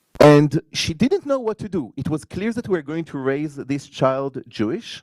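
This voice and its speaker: With an Israeli accent, a man talks at a moderate pace with very wide pitch swings, recorded in a dry, close sound with no echo. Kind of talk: conference panel talk.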